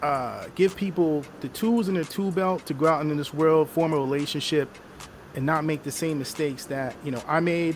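Through noticeable background noise, a man speaks at a fairly high pitch with ordinary pitch variation. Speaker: show host. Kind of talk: casual panel discussion. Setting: online livestream.

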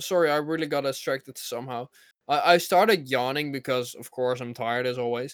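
A man with a plain, everyday voice speaks at a medium pitch with ordinary pitch variation and big swings in loudness. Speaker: podcast host. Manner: rambling, filler-heavy.

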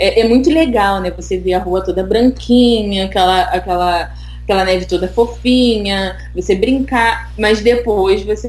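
Noticeable background noise and audible room echo surround a woman talking. She speaks at a fairly slow pace with hardly any pauses. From Brazil, Rio de Janeiro. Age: 20s. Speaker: immigrant on work permit. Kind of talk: casual interview chat.

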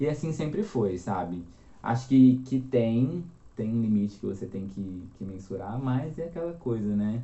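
There is audible room echo around this man's voice. He talks fairly slowly at a medium pitch with lively intonation. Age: 20s. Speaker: copywriter and journalist. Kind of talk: casual interview chat.

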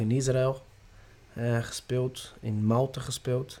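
A man speaks in a Portuguese accent with a dark, mellow tone. His intonation is monotone and flat. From Brazil. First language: Portuguese (speaking Dutch). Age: 30s. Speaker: football youth coach. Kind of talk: interview. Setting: training ground. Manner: halting.

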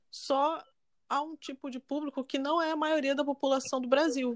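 With a high pitch, a woman speaks at a moderate pace in a monotone, flat way. The sound is dry and close with no echo. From Brazil, Rio de Janeiro. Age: 20s. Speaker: journalism student. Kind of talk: casual chat.

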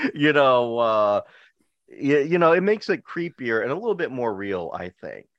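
Recorded dry and close with no echo against a quiet background, a man with an American accent speaks at a medium pitch with very wide pitch swings. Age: 40s. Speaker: podcast host. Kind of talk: casual chat. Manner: animated.

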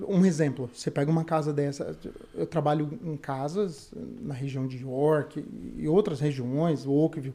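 In a dark, mellow tone, a man speaks at a fairly slow pace with a fairly high pitch and ordinary pitch variation. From Brazil, São Paulo city. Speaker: carpenter. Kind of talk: interview.

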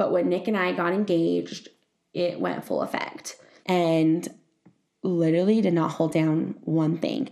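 Speaking fairly slowly, a woman uses a fairly low pitch and a dark, mellow tone with lively intonation. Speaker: podcast host. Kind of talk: personal storytelling monologue. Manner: casual, rambling.

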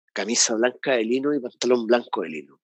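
Medium-pitched male voice, bright and sharp in tone, at a moderate pace with fairly even intonation. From Chile, Santiago. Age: 40s. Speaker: podcast co-host. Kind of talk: casual chat.

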